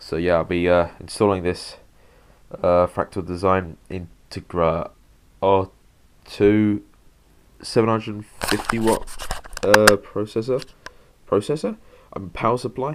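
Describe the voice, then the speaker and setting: Long, frequent pauses break up this man's fairly slow speech, which has a fairly low pitch, ordinary pitch variation and noticeable background noise. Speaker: tech hobbyist YouTuber. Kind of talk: tutorial. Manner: halting, many fillers.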